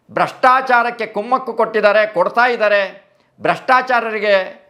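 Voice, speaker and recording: A man in a raised, projected voice, extremely high-pitched, bright and sharp in tone, with fairly even intonation. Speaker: former RSS organiser. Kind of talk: interview testimony. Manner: halting, with many pauses.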